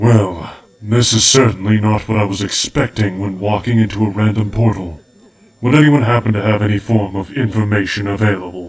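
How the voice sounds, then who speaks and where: A man's put-on character voice, fairly low in pitch, at a fairly quick pace. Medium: audio drama.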